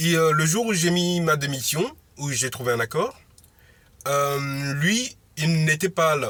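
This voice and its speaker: This man has a fairly high pitch and a bright, sharp tone with ordinary pitch variation. He speaks at a very slow pace, leaving long, frequent pauses. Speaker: motivational vlogger. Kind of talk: casual monologue vlog. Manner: loud; halting, many fillers.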